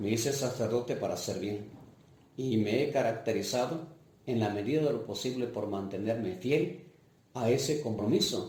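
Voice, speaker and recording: Moderately paced and somewhat breathy, a man speaks at medium pitch with ordinary pitch variation and audible room echo. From Mixtec region of Oaxaca, Mexico. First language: Mixtec (speaking Spanish). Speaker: parish priest. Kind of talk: life-story interview testimony. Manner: hesitant, with fillers.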